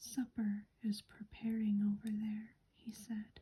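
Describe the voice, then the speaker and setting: Soft-spoken and calm in tone, the speaker talks at a very slow pace. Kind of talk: soft-spoken ASMR book reading. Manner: soft-spoken, calm.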